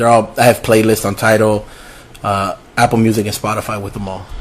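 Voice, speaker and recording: Background noise is clearly audible. Through it, a man talks. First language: Spanish. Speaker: music producer and rapper. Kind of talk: casual interview chat. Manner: casual, profanity-laden.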